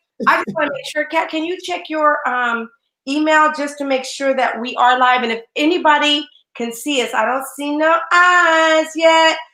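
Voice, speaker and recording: Bright and sharp in tone, a woman's high-pitched voice is raised and projected. She keeps a moderate pace with ordinary pitch variation. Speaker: live show host and business coach. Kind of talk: live online talk show. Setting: live video stream. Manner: loud; animated.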